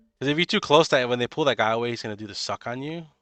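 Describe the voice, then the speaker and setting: The man speaks with ordinary variation in his pitch. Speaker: gaming guide creator. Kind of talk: gameplay commentary. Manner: fast; animated.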